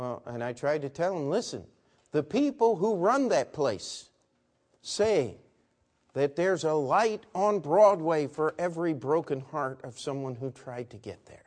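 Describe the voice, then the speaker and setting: Against a quiet background, a man with an American accent uses an ordinary speaking voice, fairly high in pitch and fairly slow, with lively intonation and big swings in loudness. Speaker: preacher. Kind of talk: sermon. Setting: church.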